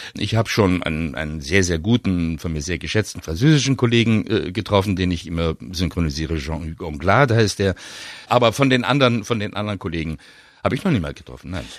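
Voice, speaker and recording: With a very deep, low pitch and lively intonation, a man talks at a very fast pace. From Munich, Germany. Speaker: actor and dubbing voice actor. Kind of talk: casual interview. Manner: thoughtful, hesitant.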